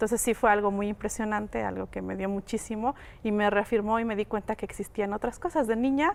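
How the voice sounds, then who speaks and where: Fairly high in pitch, a woman speaks at a fairly quick pace with fairly even intonation. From Oaxaca, Mexico (Mixe community). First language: Mixe (Ayuuk) (speaking Spanish). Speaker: linguist. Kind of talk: interview.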